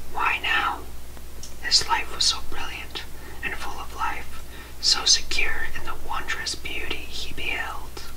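Against noticeable background noise, a man delivers his words very slowly. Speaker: ASMR creator. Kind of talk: ASMR book reading for sleep. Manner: soft-spoken, whispering. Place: home room.

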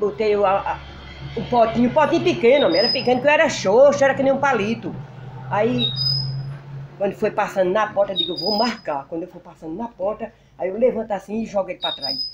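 Through loud background noise, a woman with fairly high pitch talks very fast, with very wide pitch swings, big swings in loudness, and long, frequent pauses. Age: 60s. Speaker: rural homemaker. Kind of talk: interview. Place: home room. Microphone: handheld.

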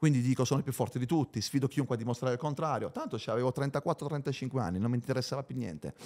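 A man with vocal fry and an animated tone, talking at a very fast pace over a quiet background. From Bari, Apulia, southern Italy; Apulia, Italy. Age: 30s. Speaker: former footballer; podcast guest. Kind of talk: interview. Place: studio. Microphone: studio mic.

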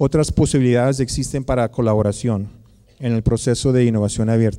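Against a quiet background, a man talks at a fairly quick pace with a medium pitch, a dark, mellow tone and fairly even intonation. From United States. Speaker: researcher and academic; guest lecturer. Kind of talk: conference lecture. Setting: lecture hall with audience. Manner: halting, many fillers. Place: hall. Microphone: podium.

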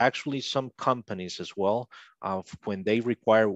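In a quiet background, a man speaks at a fairly low pitch with fairly even intonation, and the sound is dry with no echo. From Costa Rica. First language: Spanish. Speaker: linguist; interview guest. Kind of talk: interview. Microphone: headset.

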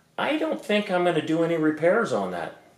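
Audible room echo surrounds a man's voice. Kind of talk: casual vlog chat. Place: garage. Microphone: camera far.

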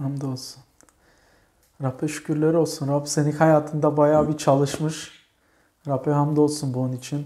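A man's fairly high voice, dark and mellow in tone, monotone and flat, at a fairly slow pace with long, frequent pauses against a quiet background. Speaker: church program host. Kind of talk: interview with religious tone. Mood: warm, thankful. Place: home room. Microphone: lapel.

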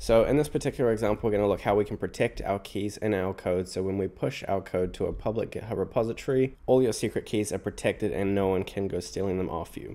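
This man has a dark, mellow tone and a fairly low pitch with ordinary pitch variation. He talks at a very fast pace with hardly any pauses. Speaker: programming tutor. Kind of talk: tutorial.

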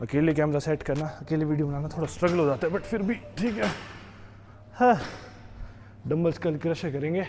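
Long, frequent pauses break up a man's speech, with ordinary pitch variation. Light background noise is present. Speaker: fitness vlogger. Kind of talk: casual vlog chat. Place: gym. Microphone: lapel.

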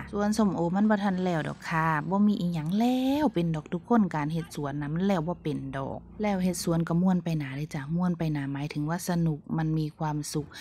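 A woman's fairly low voice shows a normal amount of pitch movement. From Buriram, northeastern Thailand. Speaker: vlogger, pomelo farmer and mother. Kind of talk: casual vlog talk.

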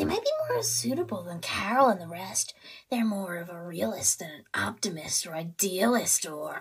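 Moderately paced, this female-sounding voice sits at a medium pitch. It is a put-on character voice. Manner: sweet, cryptic.

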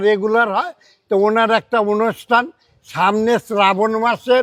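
In a very clean recording with a silent background and dry, close sound with no echo, a man speaks high for a man with ordinary pitch variation. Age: 80s+. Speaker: temple caretaker. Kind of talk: informal guided tour. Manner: halting.

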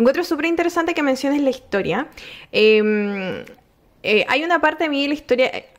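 A woman with a high pitch talks at a moderate pace, her intonation lively. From Chile. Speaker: podcast host. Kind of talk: casual interview. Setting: home. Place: home room. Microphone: studio mic.

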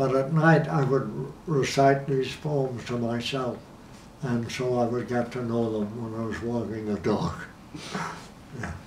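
Fairly slow male speech with ordinary pitch variation, audible room echo and light background noise. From Ireland. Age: 80s+. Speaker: documentary subject. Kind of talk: interview answer. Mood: reflective, warm reminiscing. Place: home room. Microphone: lapel.

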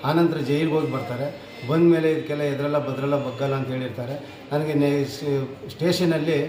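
In a room with audible echo and noticeable background noise, a man speaks at a fairly high pitch with monotone, flat intonation. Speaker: retired soldier. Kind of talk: statement to the press.

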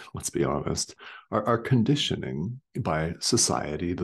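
The speaker is a man. His voice is pitched very deep and low. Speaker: spiritual teacher. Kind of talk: sermon. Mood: calm, reflective. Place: home room. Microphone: webcam.

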